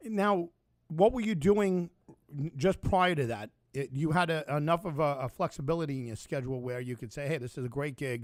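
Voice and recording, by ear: A man talks at a moderate pace. His pitch shows ordinary variation. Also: fairly high pitch for a man.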